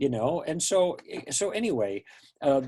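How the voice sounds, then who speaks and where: With an American accent, a man speaks at a moderate pace in a fairly high pitch and a plain, everyday voice. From US Midwest, Chicago. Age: 60s. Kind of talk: interview.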